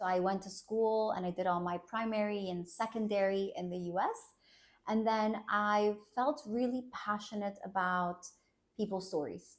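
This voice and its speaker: A woman talks at a moderate pace with a medium pitch and fairly even intonation. It is a normal speaking voice. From United States (Colombian-born, moved at six). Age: 30s. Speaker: clinical psychologist. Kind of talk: personal interview testimony.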